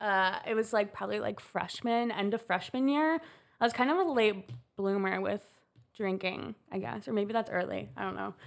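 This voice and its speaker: An American accent comes through in this woman's unremarkable speaking voice, pitched fairly high with ordinary pitch variation. She talks at a moderate pace over a silent background in a very clean recording. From Chicago. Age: 20s. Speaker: college student in recovery. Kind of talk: casual chat.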